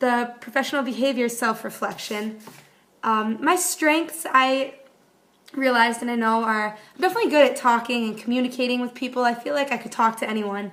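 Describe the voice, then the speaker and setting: With an American accent, a woman talks at a fairly quick pace in a high pitch. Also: ordinary pitch variation. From Buffalo area, western New York. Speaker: graduate student. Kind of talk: self-reflection video monologue. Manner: fast.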